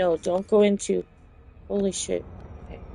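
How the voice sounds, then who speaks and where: A woman talks at a moderate pace. Behind her, music is playing. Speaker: podcast host. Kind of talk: casual chat.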